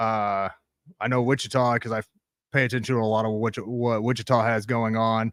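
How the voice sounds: A man talks at a moderate pace in a fairly low, fairly bright voice with little pitch movement.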